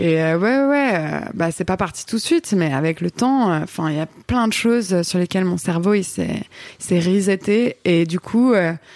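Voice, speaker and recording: A woman at a very slow pace, with lively intonation and very even loudness. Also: medium pitch for a woman. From Paris region, France. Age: 30s. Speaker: photographer, director and singer. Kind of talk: casual chat.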